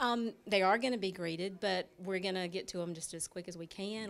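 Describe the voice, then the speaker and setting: A woman speaks with a Southern US accent. Her pitch is medium and her pace moderate. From Dublin, Georgia, US South. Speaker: bank branch manager. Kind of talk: interview. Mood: upbeat, promotional. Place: shop. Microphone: handheld.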